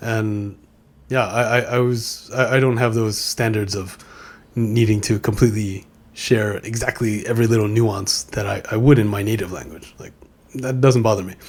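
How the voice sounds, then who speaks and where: A man at medium pitch with a New York accent, in a flat monotone at a moderate pace, with big swings in loudness. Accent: New York American. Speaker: podcast host, former DJ. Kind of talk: casual monologue. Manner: halting, many repeated words.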